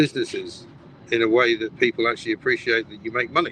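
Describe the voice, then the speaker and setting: At a fairly quick pace, a man speaks at a medium pitch with ordinary pitch variation. Noticeable background noise runs underneath. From Britain. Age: 60s. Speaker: broadcaster and businessman. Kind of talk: political discussion show.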